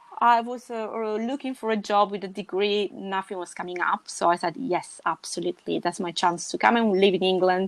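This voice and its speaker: A woman with an Italian accent at a medium pitch, fairly quick and with hardly any pauses, in dry, close sound with no echo. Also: ordinary pitch variation. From Sicily, southern Italy. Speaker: podcast guest. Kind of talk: casual chat. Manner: halting.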